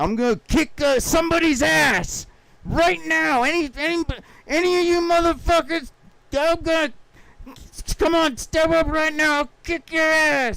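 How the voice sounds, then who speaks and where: Putting on a gruff character voice at an extremely high pitch, a man talks at a moderate pace. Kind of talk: profane. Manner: gruff, threatening.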